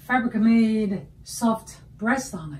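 Against light background noise, a woman talks at a very slow pace. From China. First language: Chinese. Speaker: artist. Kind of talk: artist talk about own work. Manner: halting, with frequent fillers. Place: workshop. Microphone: camera far.

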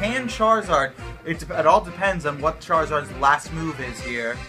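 Clear music plays in the background as a man speaks at a moderate pace with a fairly high pitch. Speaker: esports commentator auditioning. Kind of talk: esports commentary. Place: home room.

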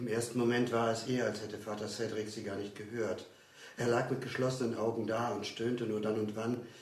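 The speaker is reading aloud in a natural voice. The words come out as a read passage.

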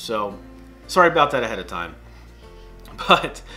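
Moderate pace, with faint music in the background. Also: man. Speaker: pilot vlogger. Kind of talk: casual vlog chat. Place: home room.

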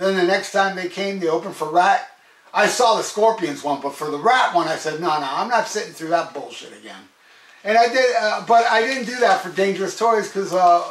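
With audible room echo and light background noise, a high-pitched man talks at a fairly quick pace, showing big swings in loudness and ordinary pitch variation. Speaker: music vlogger. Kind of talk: casual vlog chat. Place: home room.

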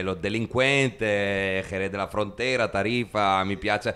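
A man's fairly low voice moves along at a fairly slow pace. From Italy. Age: 30s. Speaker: musician; interviewee. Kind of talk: interview. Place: empty room. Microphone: handheld.

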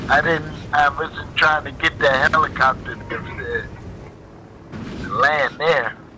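Noticeable background noise sits behind a man who talks very slowly. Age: 60s. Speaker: online gamer. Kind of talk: casual chat.

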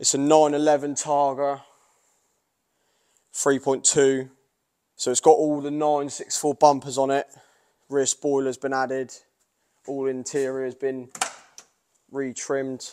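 Against a quiet background, a man speaks at a fairly slow pace with long, frequent pauses. His intonation is monotone and flat. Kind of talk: casual vlog chat. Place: garage. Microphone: phone near.

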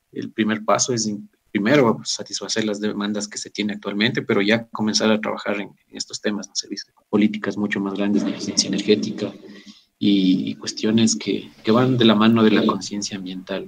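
A man speaks in a fairly low, monotone, flat voice. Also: fairly quick pace, big swings in loudness. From Ecuador. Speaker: agricultural engineer. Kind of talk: interview. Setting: remote connection. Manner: formal.

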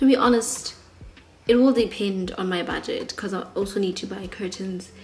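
A fairly slow, fairly even-toned woman's voice over light background noise. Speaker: vlogger. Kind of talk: casual vlog chat. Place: home room. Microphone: phone near.

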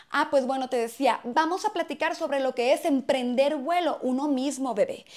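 A woman's high, animated voice with lively intonation, at a fairly slow pace over a quiet background. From Mexico, Hermosillo, Sonora; Sonora, Mexico. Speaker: comedy YouTuber. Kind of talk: casual vlog monologue. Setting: at home, in bedroom. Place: home room. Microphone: lapel.

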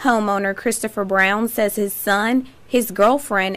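A woman has a normal speaking voice at medium pitch. She talks at a moderate pace with fairly even intonation. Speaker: TV news reporter and anchor. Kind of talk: TV newsreading, polished broadcast delivery. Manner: formal, steady, measured.

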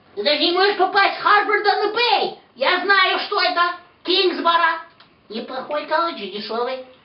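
A man performs a put-on character voice at an extremely high pitch. He keeps a moderate pace, with a slight echo around him. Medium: stage. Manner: nagging, melodramatic.

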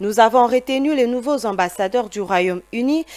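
A woman with lively intonation. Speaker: news anchor. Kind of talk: news reading, formal studio bulletin. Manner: formal, measured, steady newsreader delivery. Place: studio.

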